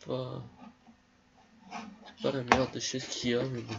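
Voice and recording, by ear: With vocal fry and a slightly husky edge, a man speaks at a fairly slow pace.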